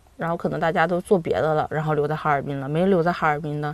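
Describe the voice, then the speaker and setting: Speaking with a slight Harbin accent, a woman uses a very deep, low pitch at a very fast pace. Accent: Harbin northeastern tone, mild. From Harbin, Heilongjiang, China. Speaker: accountant, food lover. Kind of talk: casual chat. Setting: studio.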